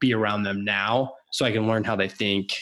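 With an American accent, a man talks at a moderate pace in a medium pitch, an unremarkable speaking voice. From Washington state, US. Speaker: podcast host, accountant. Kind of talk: casual interview chat.

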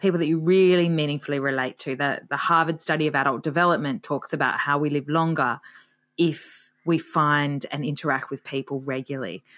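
A woman with an Australian accent speaks at a fairly quick pace in a very deep, low pitch with ordinary pitch variation. The recording is very clean, with a silent background. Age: 40s. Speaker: author and retirement expert. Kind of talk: interview.

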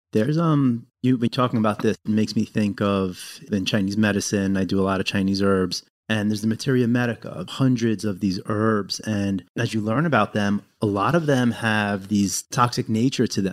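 A man uses an ordinary speaking voice with fairly low pitch at a moderate pace. The recording is very clean, with a silent background. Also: ordinary pitch variation, hardly any pauses. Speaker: podcast co-host. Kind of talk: casual conversational podcast discussion.

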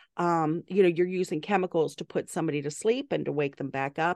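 A woman with a Southern US accent talks at a very fast pace, her pitch fairly low with ordinary variation. The sound is dry and close with no echo, over a quiet background. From US South, Atlanta and South Carolina. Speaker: medical doctor. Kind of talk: casual chat.

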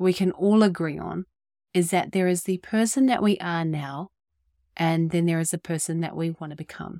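A woman with a New Zealand accent speaks at a moderate pace in a fairly low pitch, on a very clean recording with a silent background. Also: dry, close sound with no echo. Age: 30s. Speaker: podcast host. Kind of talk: scripted podcast intro and solo talk.

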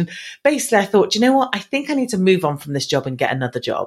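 With an English accent, a woman speaks in very wide pitch swings. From England. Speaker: business speaker and marketing trainer. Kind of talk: interview.

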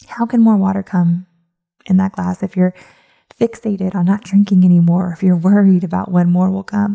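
A dark, mellow voice with a gentle, soothing quality, somewhat breathy and delivered in a flat monotone. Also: woman, medium pitch for a woman. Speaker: podcast host and coach. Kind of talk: guided meditation. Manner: slow, soothing, calm and hypnotic; gentle, repetitive, reassuring.

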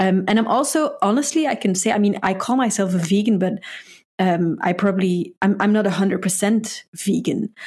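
On a very clean recording with a silent background, a somewhat breathy woman speaks at a fairly quick pace and medium pitch, with very even loudness and ordinary pitch variation. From Belgium. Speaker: dietitian. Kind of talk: casual interview. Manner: halting, hesitant.

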